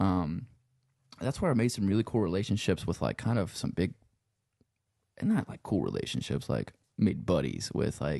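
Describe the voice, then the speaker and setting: Speaking at a moderate pace with long, frequent pauses, a man uses a fairly low, dark, mellow voice with vocal fry and lively intonation. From Louisiana, Cajun country around Lafayette. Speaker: sound engineer and musician. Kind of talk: casual chat. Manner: relaxed, rambling with many fillers.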